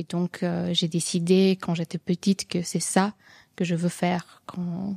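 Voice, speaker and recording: The recording is very clean, with a silent background and a dry, close sound free of echo. The tone is dark and mellow. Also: woman. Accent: Serbian. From Serbia. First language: Serbian (speaking French). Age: 30s. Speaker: comic book author. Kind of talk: radio interview. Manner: hesitant, many fillers.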